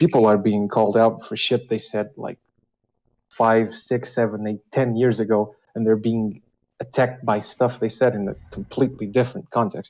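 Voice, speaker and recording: A man's medium-pitched voice with a non-native accent, fairly even intonation and a moderate pace. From Europe. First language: not English. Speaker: caller. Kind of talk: casual call-in chat. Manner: hesitant, many fillers.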